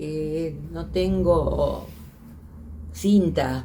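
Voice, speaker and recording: A woman's voice with audible room echo. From Argentina, Santa Fe province. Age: 80s+. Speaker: filmmaker and teacher. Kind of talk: interview testimony. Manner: halting.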